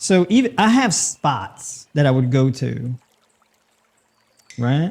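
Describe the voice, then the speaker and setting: The voice is relaxed and somewhat breathy, with an American accent. It moves very slowly, with very wide pitch swings. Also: man, fairly high pitch for a man. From New York City, Brooklyn. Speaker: nutritionist and podcast host. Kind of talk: casual livestream Q&A while cooking. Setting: live stream. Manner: relaxed, conversational.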